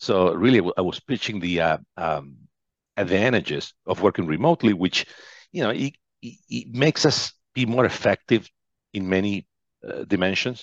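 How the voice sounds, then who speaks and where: Recorded dry and close with no echo against a quiet background, a man with a Spanish accent speaks at a moderate pace in a fairly low voice. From Argentina, western wine region. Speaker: business executive. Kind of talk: interview. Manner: halting, many fillers and repetitions.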